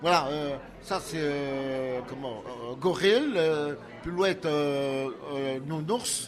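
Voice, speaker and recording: A man talks at a very slow pace in a fairly high pitch with ordinary pitch variation. Room echo is audible, and music plays in the background. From Belgium, Liège province (Soumagne). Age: 60s. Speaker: sculptor and painter. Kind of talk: interview. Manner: halting, many repetitions and hesitations.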